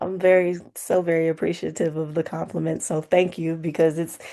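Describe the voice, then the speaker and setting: Very deep and low in pitch, a woman with an American accent has a dark, mellow tone. She speaks at a fairly quick pace with monotone, flat intonation against a quiet background. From Oakland, California, US. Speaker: singer-songwriter. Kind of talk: interview.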